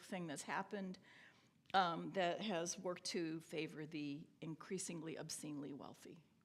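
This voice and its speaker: Her intonation is lively, and an audible room echo surrounds the woman's voice. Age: 70s. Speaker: theologian and scholar. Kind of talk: lecture. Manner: halting.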